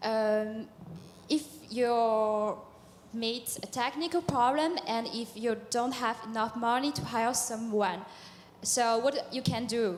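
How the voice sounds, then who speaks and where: A woman speaks very slowly with a non-native accent. Her pitch is fairly high. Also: ordinary pitch variation. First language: not English. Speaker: audience member asking a question. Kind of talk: audience question. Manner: hesitant.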